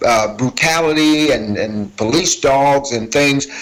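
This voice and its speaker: A man speaks with a fairly high pitch. There is noticeable background noise. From US Midwest, Minneapolis (born Selma, Alabama). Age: 60s. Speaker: former gang leader turned community worker. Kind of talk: testimony. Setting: video call to a conference. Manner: conversational.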